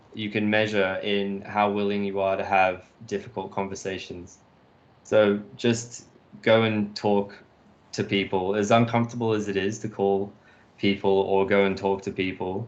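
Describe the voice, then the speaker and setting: A man with a British accent speaks at a fairly low pitch in a monotone, flat intonation. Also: moderate pace. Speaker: industrial designer. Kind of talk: casual chat. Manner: hesitant, many fillers.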